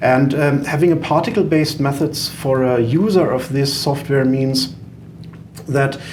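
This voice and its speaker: A man with a German accent and a fairly high pitch, speaking at a fairly slow pace with ordinary pitch variation and very even loudness, amid audible room echo and noticeable background noise. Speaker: software company founder, engineer. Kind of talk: podcast interview. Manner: hesitant, many fillers.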